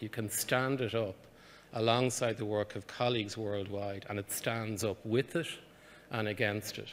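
A man with an Irish accent speaks over light background noise. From Ireland. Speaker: research funding agency head. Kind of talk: conference address. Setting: conference stage with audience. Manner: hesitant, many fillers. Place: hall. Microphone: podium.

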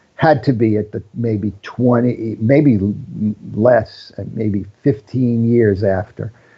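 A man's somewhat breathy voice, medium in pitch. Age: 60s. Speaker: film cinematographer. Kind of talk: casual interview conversation. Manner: self-deprecating joker.

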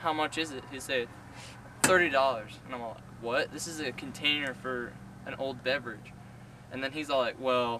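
Over noticeable background noise, a man talks with fairly even intonation in a dry sound with no echo. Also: moderate pace. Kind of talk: comedic storytelling skit. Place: garden.

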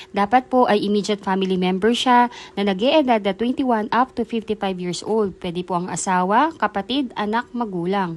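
A woman talks at a moderate pace, her pitch medium for a woman with ordinary variation. She has an unremarkable speaking voice. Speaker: real estate broker. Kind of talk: sales pitch. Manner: brisk, upbeat, persuasive pitchman-style urgency; polite, formal, rehearsed.

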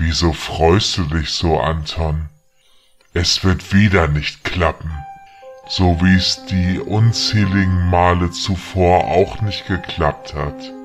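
In a put-on character voice, a man speaks at a very slow pace with a very deep, low pitch as faint music plays in the background. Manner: taunting, mocking.

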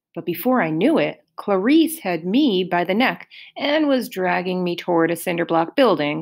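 This natural reading voice carries lively intonation throughout.

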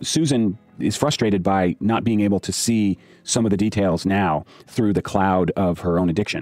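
In a plain, everyday voice, a man speaks at a moderate pace, his fairly low pitch varying in an ordinary way. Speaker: investigative journalist. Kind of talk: interview, explaining the case. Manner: measured, explanatory, with fillers.

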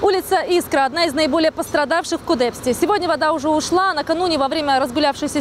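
Speaking at a very fast pace, a woman uses a high pitch. The sound is dry with no echo, with light background noise. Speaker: TV news correspondent. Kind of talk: news report stand-up. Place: street. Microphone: handheld.

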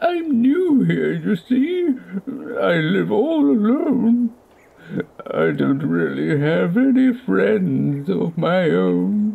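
In a cartoonish character voice, the speaker talks at a very slow pace. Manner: remorseful, sheepish.

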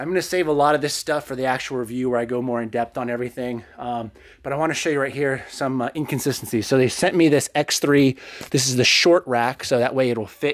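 In a dry recording with no echo and a quiet background, a man speaks at a very fast pace with fairly even intonation. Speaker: fitness vlogger. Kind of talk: casual vlog chat. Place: gym. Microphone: phone near.

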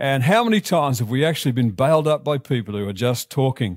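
At a moderate pace, a man speaks with a fairly high pitch in a dry sound with no echo and a quiet background. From Australia. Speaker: pastor. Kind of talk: sermon delivered to a congregation. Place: church. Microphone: headset.

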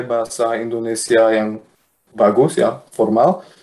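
A man with a Luxembourgish accent. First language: Luxembourgish (speaking Indonesian). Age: young. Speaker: mathematics lecturer; guest. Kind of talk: interview; interview answer. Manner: halting with many fillers. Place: home room. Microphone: video call.

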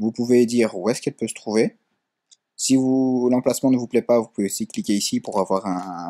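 Here a man talks at a moderate pace and medium pitch, his dark, mellow tone carrying ordinary pitch variation. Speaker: tech tutorial YouTuber. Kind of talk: tutorial. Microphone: built-in laptop mic.

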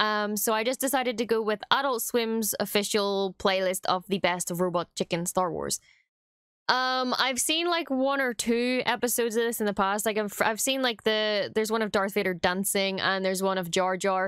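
A woman at a moderate pace with ordinary pitch variation, in a dry sound with no echo and a quiet background. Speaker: content creator. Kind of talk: casual vlog chat. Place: home room. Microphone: studio mic.

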